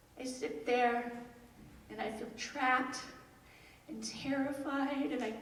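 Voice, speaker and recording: A woman speaks at a very slow pace with ordinary pitch variation, and there is noticeable background noise. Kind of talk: live storytelling performance.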